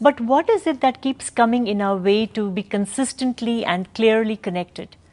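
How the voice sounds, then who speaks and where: Speaking with an ordinary speaking voice, a woman talks at a moderate pace in a fairly high pitch with ordinary pitch variation. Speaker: interviewer. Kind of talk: interview question.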